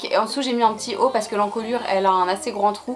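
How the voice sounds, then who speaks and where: A woman talks at a very fast pace with fairly high pitch and fairly even intonation. Noticeable background noise runs under her voice. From France. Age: 20s. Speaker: fashion YouTuber. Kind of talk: casual talk to camera.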